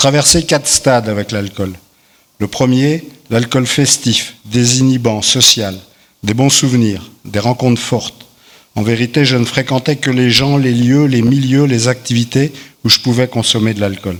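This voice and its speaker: A man with an unremarkable speaking voice talks at a fairly slow pace, his medium pitch held in fairly even intonation. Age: 60s. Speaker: recovering alcoholic giving testimony. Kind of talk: testimony, partly read aloud.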